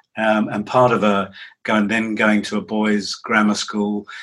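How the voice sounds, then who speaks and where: In an English accent, a man with a medium pitch and a bright, sharp tone speaks at a fairly slow pace. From England. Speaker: psychotherapist and author. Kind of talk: interview.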